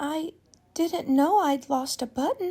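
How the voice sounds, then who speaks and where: In a put-on character voice, a woman speaks squeakily at a high pitch and a fairly slow pace. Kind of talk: bedtime story. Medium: read story. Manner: innocent, wide-eyed and wondering.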